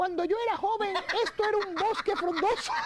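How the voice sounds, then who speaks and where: Over loud background noise, a put-on character voice with an extremely high pitch talks at a fairly quick pace. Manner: nostalgic, reminiscing.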